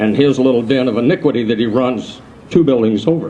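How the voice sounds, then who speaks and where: Noticeable background noise sits behind a man's voice. He speaks at a moderate pace, medium in pitch, with ordinary pitch variation. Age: 70s. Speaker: transmission shop owner. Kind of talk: rally speech.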